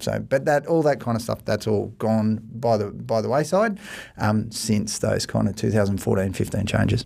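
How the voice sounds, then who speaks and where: A man's fairly low, dark, mellow voice with vocal fry, at a moderate pace. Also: ordinary pitch variation. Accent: Australian. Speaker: mortgage broker, managing director. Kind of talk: casual podcast discussion. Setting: studio.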